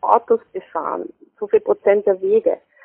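Her pitch sits fairly high for a woman, and her intonation is lively. She speaks at a fairly slow pace. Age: 30s. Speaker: health promotion consultant. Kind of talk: interview. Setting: phone call. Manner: hesitant, many fillers. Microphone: poor telephone sound quality.

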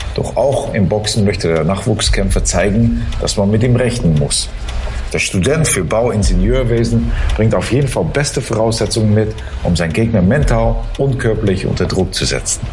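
Man's voice at very even loudness amid noticeable background noise. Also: moderate pace. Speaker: chess commentator. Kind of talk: live commentary, expert chat. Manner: halting, self-repeating.

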